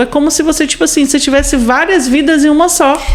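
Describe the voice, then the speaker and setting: Over noticeable background noise, a woman's lively intonation comes through as she talks very fast. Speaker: exchange student. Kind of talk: casual chat.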